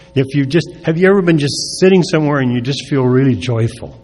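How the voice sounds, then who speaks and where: A man talks at a fairly quick pace with medium pitch and lively intonation. Music plays in the background, and there is audible room echo. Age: 70s. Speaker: recovery speaker. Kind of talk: recovery talk. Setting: stage with audience. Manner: halting.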